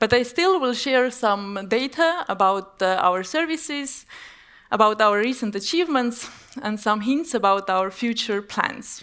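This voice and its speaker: Bright and sharp in tone, a woman speaks at a fairly slow pace in a fairly high pitch with lively intonation. The recording is very clean, with a silent background. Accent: Estonian. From Estonia, Tartu (born in Armenia, moved at seven). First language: Armenian. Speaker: business executive. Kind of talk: conference presentation.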